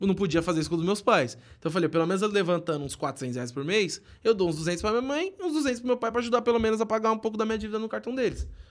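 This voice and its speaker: This man talks at a very fast pace with a high pitch and lively intonation. The recording is very clean, with a silent background. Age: 20s. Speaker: small business owner. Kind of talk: casual chat.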